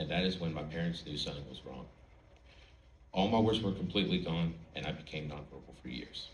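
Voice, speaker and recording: With audible room echo, a man talks at a fairly quick pace, showing vocal fry and ordinary pitch variation. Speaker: college student, speech contestant. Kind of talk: prepared speech. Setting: stage with audience.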